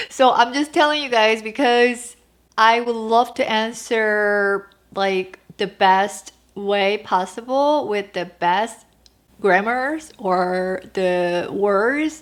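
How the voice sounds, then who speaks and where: A woman with a Korean accent speaks very slowly at a fairly high pitch with ordinary pitch variation. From South Korea. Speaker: lifestyle vlogger. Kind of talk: casual Q&A vlog. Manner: halting.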